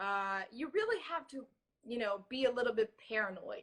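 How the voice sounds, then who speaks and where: A woman's high, bright and sharp voice at a moderate pace, with a Portuguese accent. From Brazil. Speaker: social engineering security expert. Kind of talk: interview.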